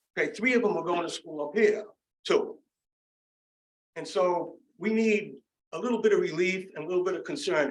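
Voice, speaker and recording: Very wide pitch swings in audible room echo. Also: man. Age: 60s. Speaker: resident speaking at public comment. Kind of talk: public comment at town meeting. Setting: town council meeting. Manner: animated.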